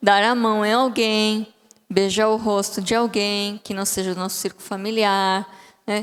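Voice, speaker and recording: A woman with a Bolivian accent, fairly high-pitched, at a fairly slow pace. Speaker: psychologist, guest speaker. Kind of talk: sermon. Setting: church. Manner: halting.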